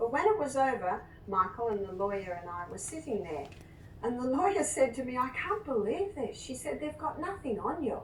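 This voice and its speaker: A high-pitched woman at a moderate pace, with audible room echo. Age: 60s. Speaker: nurse and natural therapist. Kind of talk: interview testimony.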